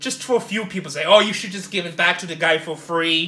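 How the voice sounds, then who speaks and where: Talking at a very fast pace, a man uses a raised, projected voice with ordinary pitch variation. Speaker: storage auction buyer vlogger. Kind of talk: casual vlog chat, ranting. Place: home room. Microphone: phone near.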